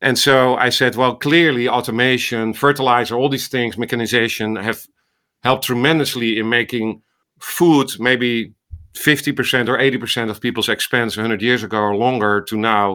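A man's bright, sharp voice with a Dutch accent, medium in pitch, at a moderate pace and with fairly even intonation. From Netherlands. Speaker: ophthalmologist and medical AI researcher. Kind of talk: interview conversation.

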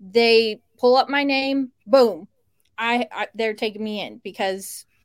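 A woman with an American accent and a plain, everyday voice talks at a fairly slow pace in a fairly high pitch, the sound dry and close with no echo on a very clean recording with a silent background. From Cleveland, Ohio. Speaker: podcast host. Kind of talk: casual interview chat.

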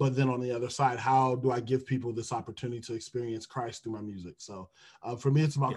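A man with an American accent, somewhat breathy at medium pitch, with fairly even intonation at a very fast pace over a quiet background. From Detroit, US Midwest. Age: 20s. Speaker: HR recruiter and music minister. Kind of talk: podcast interview.

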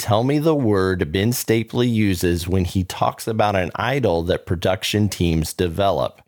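With an American accent, a man uses a normal speaking voice, fairly low in pitch, with lively intonation at a moderate pace. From Orlando, Florida. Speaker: podcast host. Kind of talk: podcast interview and promos.

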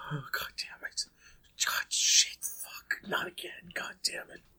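A raspy, put-on character voice. It moves at a fairly slow pace. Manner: frustrated, swearing.

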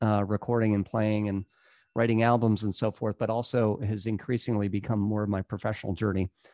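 A man with an American accent speaks fairly quickly in a plain, everyday voice, fairly low in pitch and fairly even in intonation. The sound is dry and close with no echo, over a quiet background. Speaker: coach and company founder. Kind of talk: casual interview chat.

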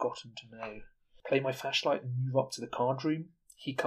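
An unforced reading voice carries a fairly even intonation.

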